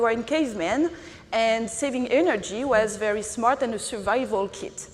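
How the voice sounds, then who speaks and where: With audible room echo around her, a woman talks at a fairly quick pace in a high voice with lively intonation. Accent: strong French. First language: French. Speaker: non-profit executive director. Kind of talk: conference panel discussion.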